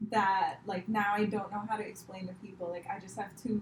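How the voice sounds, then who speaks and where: Somewhat breathy, this voice comes with an American accent. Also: woman. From India, Mumbai. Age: 20s. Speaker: comedian. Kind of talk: casual chat.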